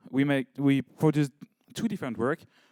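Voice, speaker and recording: Dry, close sound with no echo, carrying a man's medium-pitched voice. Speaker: project representative presenting a case study. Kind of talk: conference presentation. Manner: halting, many fillers and restarts.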